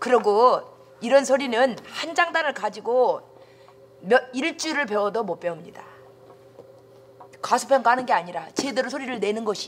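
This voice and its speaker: Against light background noise, a woman with a high pitch talks at a moderate pace with long, frequent pauses. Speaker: folk song teacher. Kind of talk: lecture. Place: classroom.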